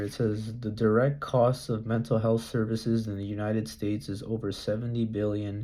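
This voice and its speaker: At a moderate pace, a man talks with medium pitch. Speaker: vlogger. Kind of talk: reading aloud with commentary. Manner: halting.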